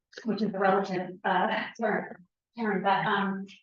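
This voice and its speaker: A woman with an American accent, a bright, sharp tone and a fairly slow pace. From Woodstock, New York, US. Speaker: resident speaking at public hearing. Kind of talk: public comment at town meeting. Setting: town hall meeting. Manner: halting, many fillers.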